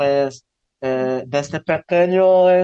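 Over background music, a fairly high-pitched man speaks at a very slow pace with ordinary pitch variation, the sound dry and close with no echo. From Zan, Yucatán, Mexico. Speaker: visual artist. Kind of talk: interview.

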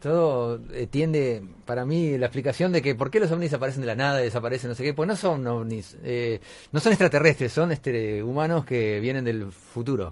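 In an ordinary speaking voice, the delivery comes at a fairly quick pace with lively intonation. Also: man, medium pitch for a man. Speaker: radio host. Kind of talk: casual chat.

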